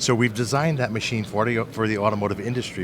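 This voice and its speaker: A man's fairly low voice at a very fast pace, with audible room echo and noticeable background noise. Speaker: equipment company representative. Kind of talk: trade show interview. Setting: trade show floor.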